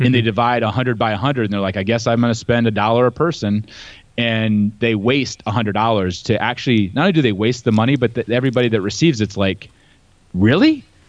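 Very fast speech comes from a man in an American accent. Pitch rises and falls in an ordinary way. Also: medium pitch for a man. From US Midwest, Ohio farm. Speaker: entrepreneur and sales speaker. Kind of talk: casual interview. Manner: animated.

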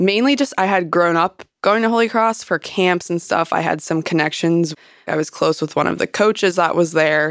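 An unremarkable speaking voice talks at a moderate pace with ordinary pitch variation, recorded very cleanly against a silent background. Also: woman. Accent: American. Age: 20s. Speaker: golf professional. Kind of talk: interview.

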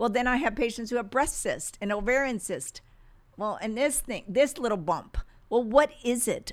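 With lively intonation and a normal speaking voice, a woman talks at a moderate pace in a very clean recording over a silent background. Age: 60s. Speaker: medical doctor. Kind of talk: interview.

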